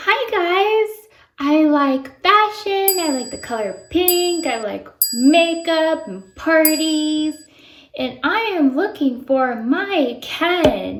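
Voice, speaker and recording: A woman's put-on character voice, extremely high-pitched, at a very slow pace. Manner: bubbly, chirpy.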